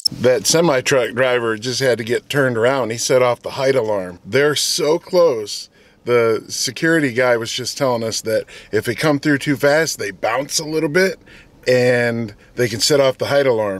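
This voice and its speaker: A man's voice at a moderate pace, with ordinary pitch variation and a dry sound with no echo. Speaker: RV vlogger. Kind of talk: casual vlog chat. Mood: cheerful, joking. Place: car. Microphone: phone near.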